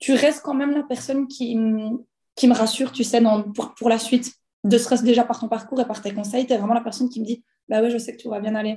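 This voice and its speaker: This woman talks at a fairly quick pace in a monotone, flat intonation, her fairly high pitch carrying a dark, mellow tone. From Belgium. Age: 20s. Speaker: former physiotherapist turned entrepreneur. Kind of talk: personal testimony. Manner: hesitant, many fillers.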